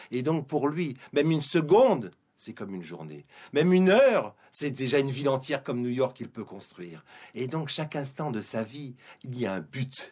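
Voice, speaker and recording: In a very clean recording with a silent background, a man of medium pitch talks at a moderate pace with lively intonation. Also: big swings in loudness. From Guadeloupe. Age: 50s. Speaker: publisher and Torah teacher. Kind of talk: radio interview. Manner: hesitant, with fillers and repetitions.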